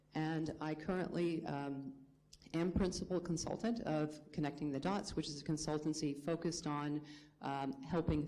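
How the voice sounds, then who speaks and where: A woman's very deep, low voice with a dark, mellow tone, fairly even intonation and a moderate pace, in audible room echo. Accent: American. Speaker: remittance industry consultant. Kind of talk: conference panel introduction. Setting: conference panel with audience.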